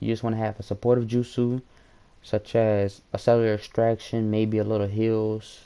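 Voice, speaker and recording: This man's voice sits at a medium pitch. The tone comes across dark and mellow. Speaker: gaming youtuber. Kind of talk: gameplay tutorial. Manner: stutters often; casual, hesitant.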